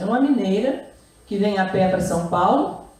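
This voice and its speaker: A woman's fairly high voice at a moderate pace, with ordinary pitch variation, noticeable background noise and audible room echo. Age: 70s. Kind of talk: talk at a literary festival. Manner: halting, with frequent repetitions.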